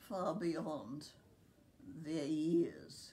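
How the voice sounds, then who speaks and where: A very slow pace with audible room echo. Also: woman. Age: 90s. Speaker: care home resident. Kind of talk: interview.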